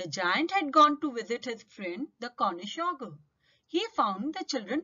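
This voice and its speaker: A woman at a fairly slow pace, her pitch swinging very widely. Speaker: English teacher. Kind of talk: tutorial.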